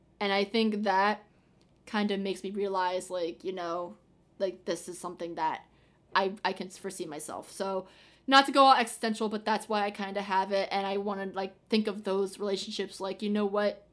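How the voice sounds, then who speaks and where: A woman speaks at a moderate pace and medium pitch with fairly even intonation. It is an unremarkable speaking voice. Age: 20s. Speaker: student and aspiring TV producer. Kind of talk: casual chat. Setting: remote call.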